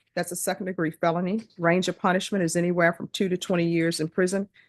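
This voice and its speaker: A woman with a Louisiana accent talks at a very fast pace in a fairly low pitch, with fairly even intonation. The sound is dry and close with no echo over a quiet background. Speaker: judge. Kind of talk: court hearing. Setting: courtroom. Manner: formal.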